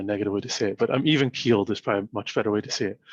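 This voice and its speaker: This soft-spoken man talks at a very fast pace in a medium pitch, with a dry, close sound and no echo. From Canada. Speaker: startup founder and CEO. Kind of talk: interview. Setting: video call. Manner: even-keeled.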